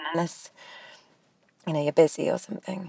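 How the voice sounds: Doing a put-on character voice, a woman speaks at a low pitch and a moderate pace, with a dark, mellow tone, a slightly husky edge, vocal fry and fairly even intonation.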